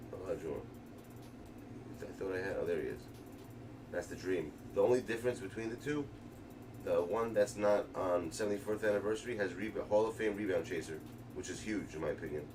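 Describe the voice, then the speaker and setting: At a fairly quick pace with long, frequent pauses, a man with a New York accent speaks fairly low with ordinary pitch variation, and audible room echo surrounds him. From New York, Brooklyn. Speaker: video game streamer. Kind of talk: live gaming stream commentary. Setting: live stream. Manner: casual, fast, rambling.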